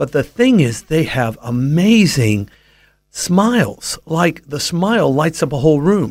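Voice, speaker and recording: A man with an American accent speaks at a fairly high pitch with very wide pitch swings. The recording is very clean, with a silent background. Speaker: Bible teacher. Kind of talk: radio interview on faith.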